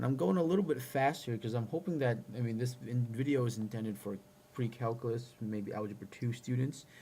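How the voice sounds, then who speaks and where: A man with medium pitch and ordinary pitch variation speaks in an unremarkable speaking voice. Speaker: math teacher. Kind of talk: tutorial.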